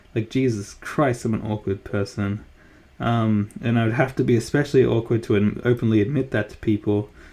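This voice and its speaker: Here a man talks fairly quickly with an Australian accent and a medium pitch. His tone is dark and mellow, his intonation fairly even. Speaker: streamer and artist. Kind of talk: casual live-stream chat. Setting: live stream on laptop. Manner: halting, many fillers and restarts.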